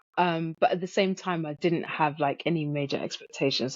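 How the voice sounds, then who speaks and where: In a British accent, a woman speaks at a fairly low pitch with fairly even intonation. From UK. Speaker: guest sharing out-of-body experience. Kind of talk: testimony.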